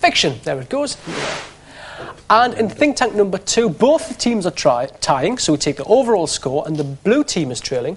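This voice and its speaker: Over noticeable background noise, a man with a strong Geordie accent speaks at a moderate pace in a high-pitched voice with very wide pitch swings. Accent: thick Geordie. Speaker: game show host. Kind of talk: TV game show hosting.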